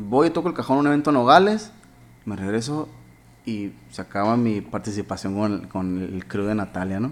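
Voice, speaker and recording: This man has an unremarkable speaking voice, medium in pitch, delivered at a moderate pace. His intonation is lively, and his loudness swings widely. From Mexico, Hermosillo (Sonora). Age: 30s. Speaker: musician. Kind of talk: casual chat.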